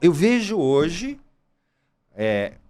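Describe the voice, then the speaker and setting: Very wide pitch swings from a man pitched fairly high. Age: 60s. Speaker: gynecologist. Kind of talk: casual chat.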